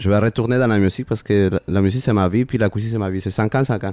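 Spoken very fast in a Spanish accent, the voice has a dark, mellow tone. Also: man. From Peru, Lima. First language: Spanish (speaking French). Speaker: chef. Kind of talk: casual chat. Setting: restaurant. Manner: halting.

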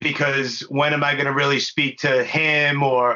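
A bright, sharp tone at a fairly slow pace with little pitch movement. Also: man, medium pitch for a man.

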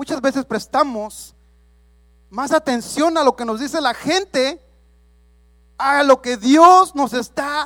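A man speaks at an extremely high pitch in a bright, sharp tone, with ordinary pitch variation, a very slow pace and long, frequent pauses. The recording is very clean with a silent background, and the sound is dry and close with no echo. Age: 30s. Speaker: lay preacher. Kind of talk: sermon.

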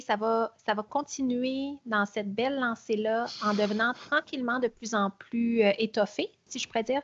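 A woman with a fairly high pitch speaks at a moderate pace. Her intonation stays fairly even.

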